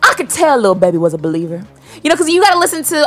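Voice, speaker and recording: A woman's animated, energetic tone against noticeable background noise. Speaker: radio host. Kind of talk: radio dj patter, upbeat show banter. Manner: animated, hyped, energetic; casual, chatty, slangy.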